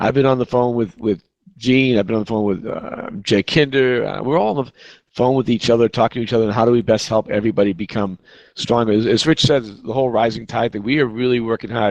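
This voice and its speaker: A man with a Boston accent, medium-pitched, at a very fast pace and fairly even intonation. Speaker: real estate agent, team leader. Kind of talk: virtual conference talk.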